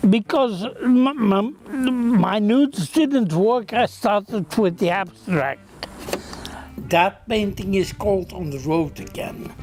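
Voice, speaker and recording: A man's high-pitched, very slow speech with lively intonation amid noticeable background noise. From Belgium. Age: 70s. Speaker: visual artist. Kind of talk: interview. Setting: artist's studio. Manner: halting, with repetitions.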